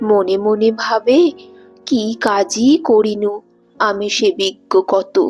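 Her intonation is lively as this woman talks. Music sits behind her voice. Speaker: poetry reciter. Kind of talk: poetry reading.

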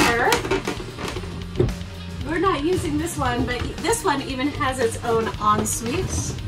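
Music plays loudly behind the voice. The speaker is a woman. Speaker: vlogger giving boat tour. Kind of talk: casual vlog chat. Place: boat. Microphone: camera far.

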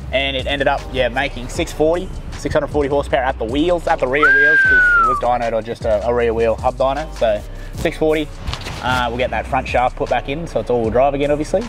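Clear music plays in the background as a man talks at a fairly quick pace, in a dry sound with no echo. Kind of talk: casual vlog chat. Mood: laid-back, joking. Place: street.

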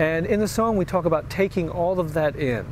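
A dry sound with no echo, light background noise, a moderate pace and ordinary pitch variation. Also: man. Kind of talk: devotional introduction to camera. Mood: warm, sincere. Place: home room.

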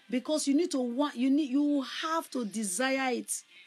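A woman speaks at a moderate pace in a high pitch with ordinary pitch variation. Faint music plays in the background. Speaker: evangelist preacher. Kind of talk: sermon. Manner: loud. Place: home room. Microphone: phone near.

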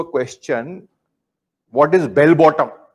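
The background is quiet as a man speaks with an Indian accent. His pitch is fairly high, with ordinary variation. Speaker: yoga teacher. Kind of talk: lecture to students with a brief guided closing meditation. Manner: calm, formal, instructive; slow, gentle cues to close eyes and absorb. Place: studio. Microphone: lapel.

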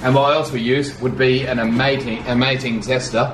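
A man talks at a moderate pace in an Australian accent. Noticeable background noise is present. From Australia (Sydney). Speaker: vlogger's partner, co-presenter. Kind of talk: casual unboxing chat. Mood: cheerful, enthusiastic. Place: home room. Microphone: camera far.

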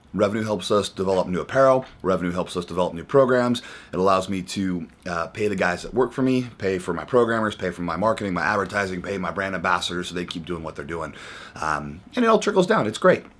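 This man speaks at a very fast pace. His pitch varies in an ordinary way. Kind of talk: casual vlog chat. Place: office. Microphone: phone near.

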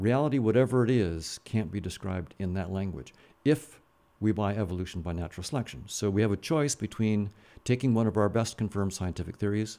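A man with a fairly low voice and normal pitch variation talks fairly quickly. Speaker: podcast guest. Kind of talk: interview answer. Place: studio. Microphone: studio mic.

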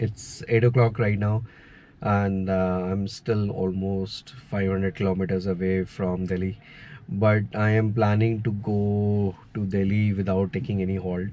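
With a dry sound and no echo, a man speaks in a monotone with flat intonation. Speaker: travel vlogger. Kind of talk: casual vlog chat. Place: car. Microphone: phone near.

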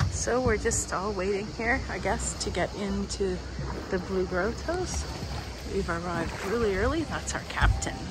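Fairly slow speech with a dry sound with no echo and music in the background. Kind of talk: casual vlog chat. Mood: relaxed, mildly disappointed. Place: boat. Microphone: phone near.

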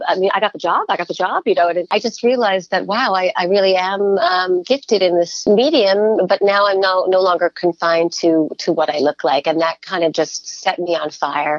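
A woman talks at a fairly quick pace with hardly any pauses, her pitch medium with ordinary variation. It is an unremarkable speaking voice. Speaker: voice actress. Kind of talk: interview answer. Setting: remote from home.

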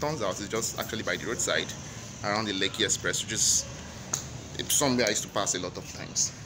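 Over noticeable background noise, a man with a fairly low pitch talks at a very fast pace with ordinary pitch variation. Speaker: travel vlogger. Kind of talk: casual vlog chat. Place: street. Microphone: phone near.

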